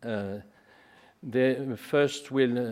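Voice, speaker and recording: A man's very slow speech at a medium pitch, with ordinary pitch variation. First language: not English. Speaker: conference host. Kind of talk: formal welcome speech. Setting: conference hall with audience. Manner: halting, many fillers.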